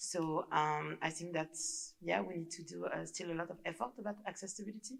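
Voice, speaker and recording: A woman talks at a fairly quick pace with a fairly low pitch. Vocal fry runs through her voice. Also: ordinary pitch variation. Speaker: audience member. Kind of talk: audience question. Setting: lecture hall with audience. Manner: halting, many fillers.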